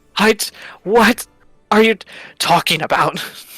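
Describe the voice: A put-on character voice, hoarse and strained, fairly high in pitch, at a fairly slow pace over faint background music.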